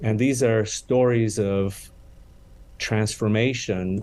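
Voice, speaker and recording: A man with a Romanian accent, fairly low in pitch, very slow in pace, with fairly even intonation. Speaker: charity CEO. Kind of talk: interview. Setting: podcast interview.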